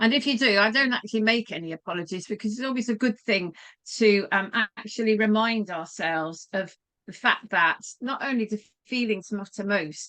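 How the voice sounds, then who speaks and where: A woman with a bright, sharp tone at a fairly quick pace. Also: fairly high pitch for a woman, ordinary pitch variation. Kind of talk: online training talk.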